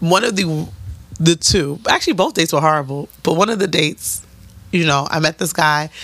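A woman with a very deep, low pitch, an animated tone and a fairly quick pace. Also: ordinary pitch variation. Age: 30s. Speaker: podcast co-host. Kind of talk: casual chat.

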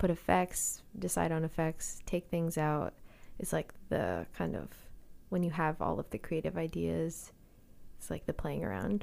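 A woman talks at a fairly slow pace. The recording is very clean and the background is silent. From Calgary, Alberta, Canada. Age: 20s. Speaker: singer-songwriter. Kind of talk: casual chat.

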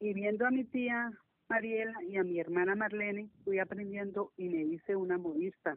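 In a normal speaking voice, a woman talks at medium pitch and a moderate pace, with ordinary pitch variation and very even loudness. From Colombia, Cali. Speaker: seamstress, member of a sewing circle. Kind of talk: interview. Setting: phone call.

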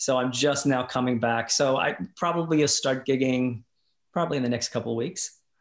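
A plain, everyday voice from a man with an American accent, medium pitch, fairly even intonation, very even loudness and a moderate pace. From Kentucky/Indiana, US. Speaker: musician, singer and performer. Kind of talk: casual interview chat.

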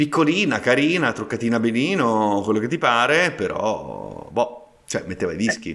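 Using vocal fry, a man at a medium pitch makes very wide pitch swings. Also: moderate pace. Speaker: podcast host. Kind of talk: casual chat.

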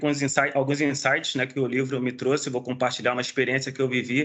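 This man speaks at a moderate pace with a fairly high pitch. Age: 40s. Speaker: special effects technician. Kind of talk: casual chat. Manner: halting.

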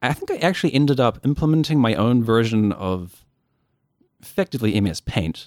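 A man talks at a fairly quick pace with a New Zealand accent, his pitch medium and his intonation lively. The sound is dry and close, with no echo. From New Zealand, Dunedin (South Island). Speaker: game programmer. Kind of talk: casual chat.

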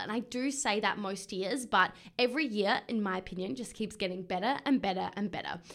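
With a bright, sharp, animated tone, a woman speaks with ordinary pitch variation. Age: 20s. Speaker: podcast host and business coach. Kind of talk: solo podcast monologue.

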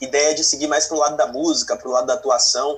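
A man at a very fast pace with ordinary pitch variation over noticeable background noise. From Brazil, Bahia, moved between states. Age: 20s. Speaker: finance content creator. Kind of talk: interview.

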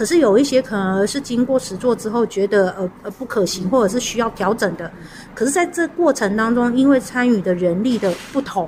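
A woman's fairly high voice carries lively intonation through noticeable background noise. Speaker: elder care organizer. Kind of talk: interview.

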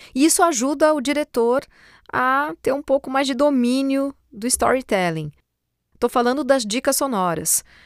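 A woman's high-pitched voice with lively intonation at a moderate pace, dry and close with no echo, on a very clean recording with a silent background. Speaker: voice-over artist and presenter. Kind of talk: podcast monologue. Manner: hesitant, repeats words.

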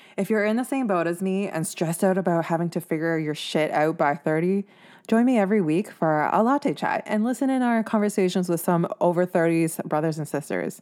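A plain, everyday voice with a Canadian accent, lively in intonation, at a fairly quick pace with hardly any pauses, in a very clean recording with a silent background. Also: woman, medium pitch for a woman. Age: 20s. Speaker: podcast host. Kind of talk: podcast monologue.

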